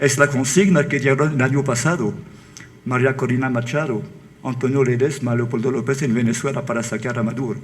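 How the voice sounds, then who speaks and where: A man at medium pitch with a French accent, amid audible room echo. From France. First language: French (speaking Spanish). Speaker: book author. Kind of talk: book presentation talk. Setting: auditorium with audience. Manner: halting.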